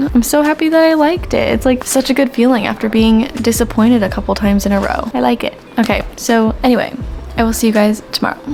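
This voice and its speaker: A woman talks very fast at a fairly high pitch with ordinary pitch variation, music playing in the background. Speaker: booktuber. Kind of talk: casual vlog review. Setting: at home. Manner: whispering.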